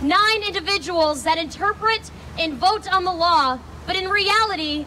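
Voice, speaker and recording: A woman's raised, projected voice moves at a moderate pace with ordinary pitch variation over light background noise. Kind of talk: prepared speech. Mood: earnest, persuasive. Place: street. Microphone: handheld.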